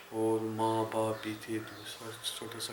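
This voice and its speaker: A man's medium-pitched voice amid noticeable background noise. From Kashmir, India. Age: 40s. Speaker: businessman and priest. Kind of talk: oral history interview answer.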